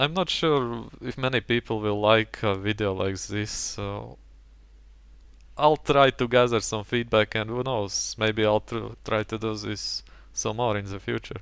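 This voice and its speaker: The recording of this man is very clean, with a silent background. He talks at a fairly slow pace. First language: not English. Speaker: gaming commentator. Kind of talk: gameplay commentary.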